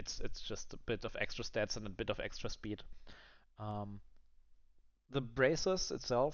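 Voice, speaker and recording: A man with a non-native accent, fairly slow in pace, with long, frequent pauses and ordinary pitch variation. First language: not English. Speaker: gaming content creator. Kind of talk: gameplay review commentary. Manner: halting, many fillers.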